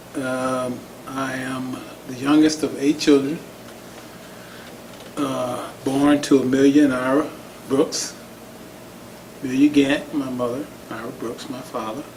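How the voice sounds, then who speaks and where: Speaking in a flat monotone at medium pitch, a man goes at a fairly slow pace with long, frequent pauses and big swings in loudness. Noticeable background noise and audible room echo surround him. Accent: American. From Oklahoma (Tulsa). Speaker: community organization executive. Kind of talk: oral history interview. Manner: halting, many fillers.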